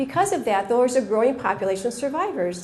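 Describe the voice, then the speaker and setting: A woman's somewhat breathy, dark, mellow voice with an American accent, fairly quick, with audible room echo. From United States. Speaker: pediatric oncologist. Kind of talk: conference talk. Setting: stage with audience. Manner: fast.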